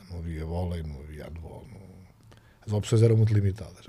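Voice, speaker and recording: A man talks at a very fast pace. Room echo is audible around him. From Portugal, Figueira da Foz. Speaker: basketball coach. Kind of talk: casual chat.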